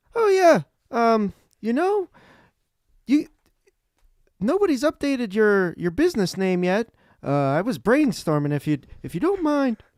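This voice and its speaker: A man puts on a squeaky character voice at an extremely high pitch with very wide pitch swings, a moderate pace and long, frequent pauses. The recording is very clean with a silent background and a dry, close sound with no echo. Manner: hesitant, awkward.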